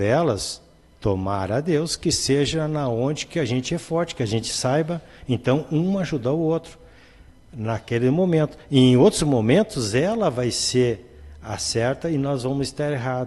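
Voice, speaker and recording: A man with a dark, mellow tone speaks at medium pitch and a fairly slow pace, his intonation lively. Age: 60s. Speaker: spiritist medium and speaker. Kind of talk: casual chat.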